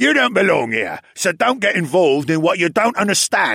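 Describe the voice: A man shouts loudly in a put-on character voice, high-pitched with big pitch swings and a bright, sharp tone. Vocal fry and a slightly husky edge come through on a very clean recording with a silent background. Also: moderate pace.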